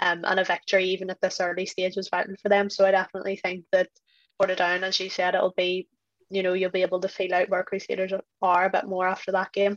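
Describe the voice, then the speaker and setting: At a very fast pace and medium pitch, a woman speaks with monotone, flat intonation, the sound dry and close with no echo. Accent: Northern Irish. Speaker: football pundit. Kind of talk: casual chat.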